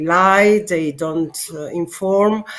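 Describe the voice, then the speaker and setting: In an Italian accent, a woman speaks at a medium pitch with fairly even intonation. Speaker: political candidate. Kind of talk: interview. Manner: halting.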